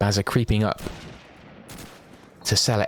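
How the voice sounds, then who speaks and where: The speaker is a man. Noticeable background noise runs behind him. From London, England. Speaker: esports shoutcaster. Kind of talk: live commentary. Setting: livestream. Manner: fast.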